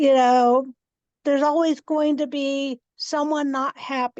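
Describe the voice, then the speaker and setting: The voice is loud, with fairly even intonation. The sound is dry and close with no echo, over a quiet background. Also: woman. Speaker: college instructor. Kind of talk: casual group discussion.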